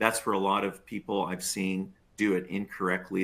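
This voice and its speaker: Here is a man with a normal speaking voice and a fairly low pitch. He keeps a moderate pace. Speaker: sales tax expert. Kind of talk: webinar presentation.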